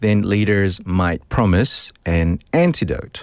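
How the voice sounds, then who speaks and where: Speaking at a very slow pace, a man with a New Zealand accent uses lively intonation. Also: fairly low pitch for a man. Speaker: English teacher explaining vocabulary.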